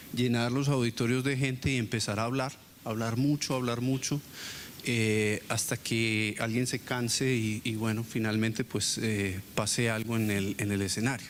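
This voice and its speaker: At a fairly slow pace, a man with a medium pitch speaks in a monotone, flat way at a very even loudness. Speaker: university professor. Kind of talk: lecture. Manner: hesitant, many fillers.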